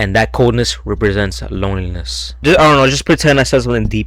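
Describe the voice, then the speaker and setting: A man talks fairly quickly while background noise is clearly heard. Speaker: youtuber, grocery store worker. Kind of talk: personal vlog narration, scripted voiceover. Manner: naturally quiet, trying to be louder; casual, slangy.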